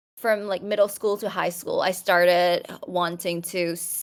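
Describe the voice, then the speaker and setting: With a Thai accent, a woman talks at a fairly quick pace in a medium pitch. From Thailand. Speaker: podcast guest, opera singer, polyglot. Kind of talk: casual chat. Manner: halting, many fillers and restarts.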